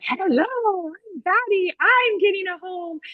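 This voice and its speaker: This is a put-on character voice with extremely high pitch. It moves at a fairly slow pace. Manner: cute, playful.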